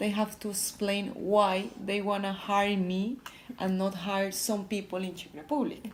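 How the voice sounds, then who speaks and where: Noticeable background noise sits behind a woman at a medium pitch. Her pace is fairly slow and her intonation fairly even. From Colombia, Bogota. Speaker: electrical engineer in sales. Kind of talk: interview. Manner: halting.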